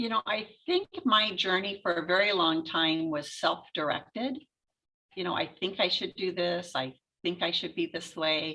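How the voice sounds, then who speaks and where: A woman speaks at a moderate pace in a medium pitch with ordinary pitch variation. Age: 60s. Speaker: portrait photographer and author. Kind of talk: interview. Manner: halting.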